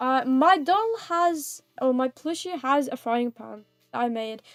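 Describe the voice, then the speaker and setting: Backed by music and recorded with a dry, close sound with no echo, a woman with a British accent talks at a high pitch with ordinary pitch variation. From United Kingdom. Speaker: vtuber streamer. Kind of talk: casual livestream gaming chat. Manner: chatty, playful.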